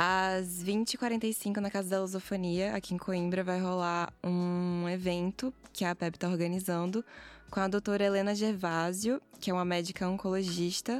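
In a very clean recording with a silent background, a woman with an unremarkable speaking voice talks at a medium pitch and fairly slow pace, with very even loudness and fairly even intonation. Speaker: student podcast coordinator. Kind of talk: casual chat.

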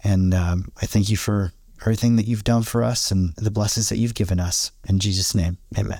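Somewhat breathy, with a dark, mellow tone and a fairly low pitch, a man speaks at a fairly quick pace with fairly even intonation and very even loudness. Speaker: Bible study podcast co-host. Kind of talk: Bible study discussion and prayer. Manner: halting, many fillers.

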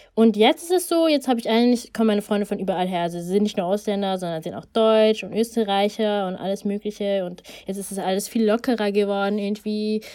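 With a dark, mellow tone and ordinary pitch variation, a woman talks at a very fast pace with hardly any pauses. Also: medium pitch for a woman. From Germany, Ethiopian family. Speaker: podcast co-host. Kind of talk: casual chat.

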